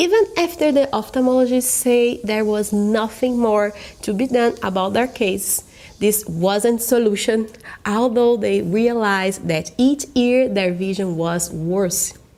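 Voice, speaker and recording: A woman talks with a Brazilian accent at a fairly slow pace. Her fairly high voice carries ordinary pitch variation. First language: Portuguese. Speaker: natural vision coach. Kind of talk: online course sales presentation. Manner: careful non-native English.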